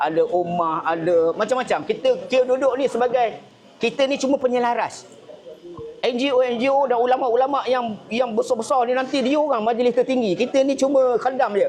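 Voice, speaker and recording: An extremely high-pitched male voice at a moderate pace, with ordinary pitch variation, very even loudness, and noticeable background noise. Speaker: NGO coalition organiser. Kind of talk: speech to press and guests. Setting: gathering at a camp.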